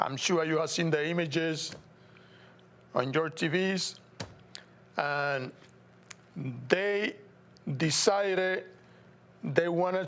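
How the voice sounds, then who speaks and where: A man with a Puerto Rican accent speaks at a very slow pace, high in pitch with fairly even intonation. Long, frequent pauses break up his speech. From Puerto Rico. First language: Spanish. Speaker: TV show host. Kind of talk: political commentary monologue. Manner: halting.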